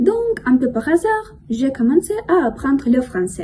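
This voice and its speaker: A high-pitched woman's voice at a moderate pace. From Russia. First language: Russian (speaking French). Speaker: language learner vlogger. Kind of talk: casual monologue vlog. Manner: careful, learner-paced.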